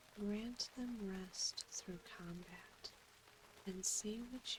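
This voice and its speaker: Soft-spoken and somewhat breathy, the voice keeps a calm tone and fairly even intonation at a very slow pace. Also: woman. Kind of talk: soft-spoken ASMR gameplay commentary. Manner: soft-spoken, slow, calm.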